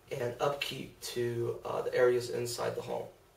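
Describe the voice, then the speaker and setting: Noticeable background noise fills the clip. Beneath it, a man talks at a moderate pace. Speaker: real estate agent. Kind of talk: casual talk to camera.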